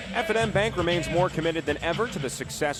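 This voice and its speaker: Over background music, a man speaks at a very fast pace and a high pitch. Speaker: sports play-by-play announcer. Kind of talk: live-read radio sponsor ad.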